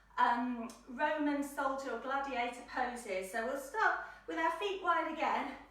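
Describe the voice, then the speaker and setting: A woman with a high pitch talks at a fairly slow pace in a playful tone with ordinary pitch variation, and audible room echo surrounds her. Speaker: children's yoga teacher. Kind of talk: children's yoga class instruction. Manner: lively, playful.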